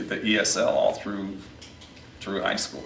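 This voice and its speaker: Audible room echo and noticeable background noise fill the recording. Through them, a man talks. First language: Aramaic (Sureth). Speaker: podcast host. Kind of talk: casual chat.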